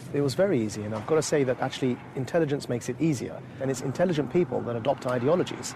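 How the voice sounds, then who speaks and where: A man talks at a very fast pace with hardly any pauses, his pitch medium. Noticeable background noise runs underneath. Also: ordinary pitch variation. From England, Essex. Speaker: former extremist turned counter-extremism activist. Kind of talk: interview.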